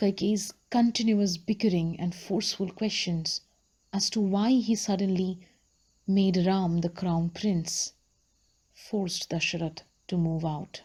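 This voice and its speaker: A woman speaks at a fairly slow pace with fairly even intonation. Her voice is somewhat breathy. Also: medium pitch for a woman. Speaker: book vlogger / audiobook storyteller. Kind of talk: storytelling reading of a book, narrated.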